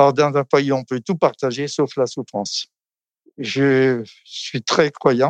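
Fairly high in pitch, a man speaks at a very slow pace with fairly even intonation. The sound is dry and close, with no echo. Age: 90s. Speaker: retirement home resident. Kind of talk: testimony.

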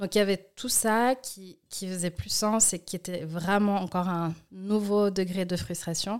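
On a very clean recording with a silent background, a woman with an unremarkable speaking voice talks at medium pitch and a fairly slow pace, with fairly even intonation and hardly any pauses. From Switzerland, Valais (Martigny), then Lausanne. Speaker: activist and entrepreneur. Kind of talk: interview conversation.

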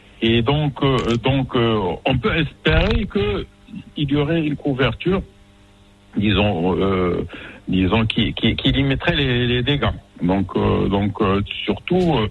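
A man talks at a very slow pace, leaving long, frequent pauses, with noticeable background noise present. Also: medium pitch for a man, lively intonation, very even loudness. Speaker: general practitioner. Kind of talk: interview.

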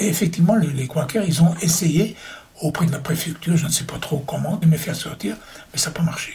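A man with a fairly high pitch talks fairly quickly, varying his pitch in an ordinary way as noticeable background noise plays. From Austria (Vienna). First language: German (speaking French). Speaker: Holocaust survivor and war veteran. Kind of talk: testimony. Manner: halting.

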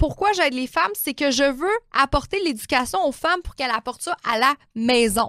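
A woman with a Quebec accent speaks at a fairly quick pace in a high, bright, sharp voice with an animated tone and very wide pitch swings, the sound dry and close with no echo. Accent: Québécois French. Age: 30s. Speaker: naturopath and life coach podcaster. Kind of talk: motivational monologue.

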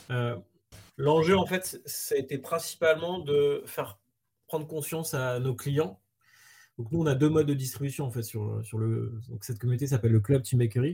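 A man speaks with a dark, mellow, somewhat breathy tone at a medium pitch. His pace is moderate and his pitch variation ordinary. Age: 40s. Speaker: startup co-founder. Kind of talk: interview.

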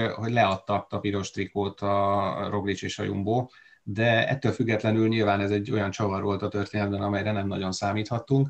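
A plain, everyday voice from a man, fairly low in pitch and fairly even in intonation, at a fairly quick pace. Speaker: cycling commentator. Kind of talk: casual chat.

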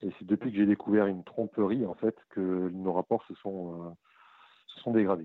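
In a plain, everyday voice, the speaker keeps a moderate pace and fairly even intonation while the loudness swings widely. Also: man, fairly low pitch for a man. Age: 30s. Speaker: caller. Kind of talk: phone consultation. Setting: phone call.

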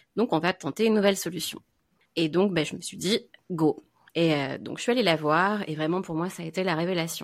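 A woman with an unremarkable speaking voice talks fairly quickly in a fairly low pitch with ordinary pitch variation, on a very clean recording with a silent background. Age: 30s. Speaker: Chinese medicine practitioner. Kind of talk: casual chat.

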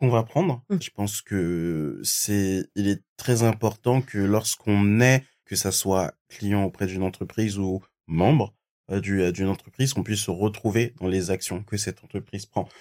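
Fairly slow speech with ordinary pitch variation, on a very clean recording with a silent background. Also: man. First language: not French (speaking French). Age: 20s. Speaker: recruiter. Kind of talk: interview conversation. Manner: hesitant, many fillers.

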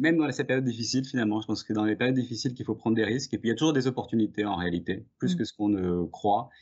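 A man at a medium pitch, very fast with hardly any pauses and ordinary pitch variation. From southeastern France, Drôme. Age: 40s. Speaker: intellectual property lawyer. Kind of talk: interview. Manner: hesitant, many fillers.

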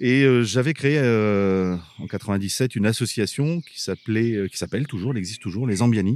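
A man speaks at a moderate pace. The recording is very clean and dry, with a silent background and a close sound with no echo. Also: medium pitch for a man, ordinary pitch variation. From northern France, Abbeville. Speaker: archaeological park director. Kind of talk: casual interview. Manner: hesitant, with fillers.

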